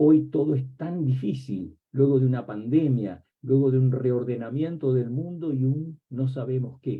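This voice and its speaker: In a Rioplatense accent, the speaker goes at a fairly slow pace with hardly any pauses and ordinary pitch variation. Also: man, medium pitch for a man. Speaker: academic book presenter, semiotics professor. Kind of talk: academic book presentation talk. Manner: reflective, with many rhetorical questions.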